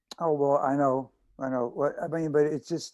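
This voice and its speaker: In a Chicago accent, a man talks at a fairly high pitch with ordinary pitch variation. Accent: American, Chicago. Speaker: actor. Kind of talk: interview answer. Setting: video call.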